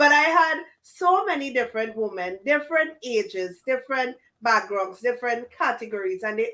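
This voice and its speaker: Bright and sharp, a woman's high voice moves at a moderate pace. Her pitch swings very wide. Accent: Trinidadian. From Trinidad and Tobago. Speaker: business coach and podcast host. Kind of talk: interview.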